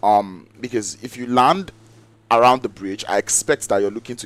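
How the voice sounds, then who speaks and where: A man is speaking. His pitch sits in the medium range. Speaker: esports caster. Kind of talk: live commentary. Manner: loud; hesitant fillers.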